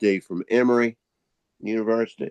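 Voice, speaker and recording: In a Southern US accent, a man talks with monotone, flat intonation, the sound dry and close with no echo. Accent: Southern American. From US South, North Carolina (Winston-Salem). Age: 80s+. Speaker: historian. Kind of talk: guest talk on video meeting.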